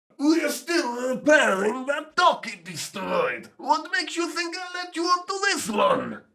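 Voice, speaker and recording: A man puts on a character voice at an extremely high pitch. He delivers it at a fairly slow pace. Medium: audio drama.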